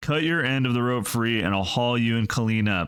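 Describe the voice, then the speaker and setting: At a fairly quick pace, the speaker uses a put-on character voice with very even loudness. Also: man, medium pitch for a man, ordinary pitch variation. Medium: read story.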